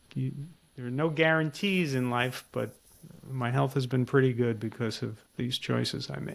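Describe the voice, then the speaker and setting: With a normal speaking voice at medium pitch, a man talks at a moderate pace with ordinary pitch variation. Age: 60s. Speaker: podcast host and author. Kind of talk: casual chat.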